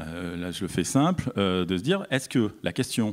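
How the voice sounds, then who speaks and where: The intonation here is lively at a moderate pace. The recording is very clean, with a silent background. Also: man. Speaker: landscape architect. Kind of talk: conference talk. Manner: hesitant, many fillers.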